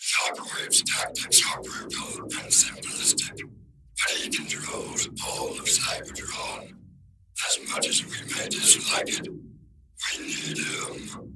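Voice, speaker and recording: A put-on character voice, raspy and extremely high in pitch, at a fairly slow pace. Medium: audio drama. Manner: calm, clipped, authoritative.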